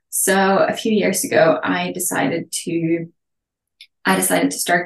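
A woman is talking. She has a Norwegian accent. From Norway. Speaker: photography educator and mentor. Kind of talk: interview.

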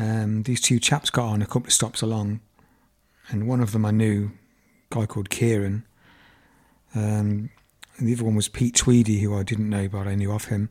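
With an English Midlands accent, a man speaks at a moderate pace in a fairly low pitch. His intonation is monotone and flat, broken by long, frequent pauses. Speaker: musician. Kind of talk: storytelling interview. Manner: relaxed, with filler words.

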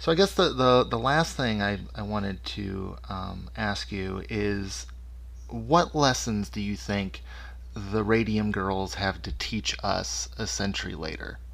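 With a very deep, low pitch and vocal fry, a man talks at a fairly slow pace while his pitch swings very widely. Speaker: podcast host. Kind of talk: interview. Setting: remote interview.

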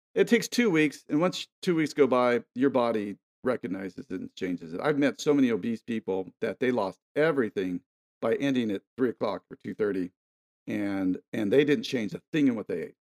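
This is a plain, everyday voice. It moves along at a moderate pace. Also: man, medium pitch for a man, lively intonation, dry, close sound with no echo. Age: 50s. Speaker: documentary filmmaker. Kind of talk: interview.

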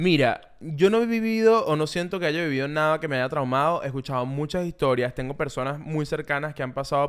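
With a Venezuelan accent, a man talks at a fairly quick pace and fairly high pitch, with lively intonation and hardly any pauses. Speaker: podcast co-host. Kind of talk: casual chat.

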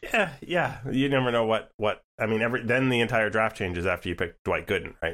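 A normal speaking voice, fairly quick with hardly any pauses, very even loudness and ordinary pitch variation. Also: man, medium pitch for a man. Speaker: podcast host, baseball commentator. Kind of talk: casual chat about baseball history. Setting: recorded remotely from home.

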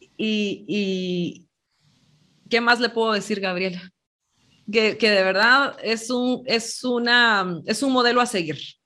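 Bright and sharp in tone, a woman's fairly high voice moves at a very slow pace with long, frequent pauses and ordinary pitch variation. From Guatemala. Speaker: podcast host. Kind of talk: interview. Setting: video call.

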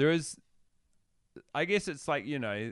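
A man talks at a fairly high pitch against a quiet background. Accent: New Zealand. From New Zealand. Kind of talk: casual chat. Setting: video call.

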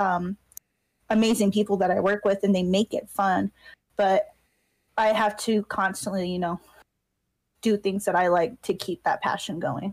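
A woman speaks at a medium pitch and a moderate pace. The recording is very clean, with a silent background. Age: 20s. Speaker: thumbnail artist. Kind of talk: casual chat. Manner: shaky voice.

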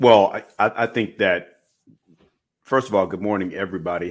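A man's unremarkable speaking voice at a moderate pace, fairly low in pitch with ordinary variation. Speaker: faith-based co-host. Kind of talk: live-streamed discussion.

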